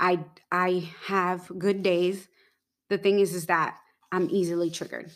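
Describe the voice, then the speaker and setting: A woman talks fairly slowly at medium pitch, her intonation monotone and flat. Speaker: podcast co-host. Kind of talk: casual chat.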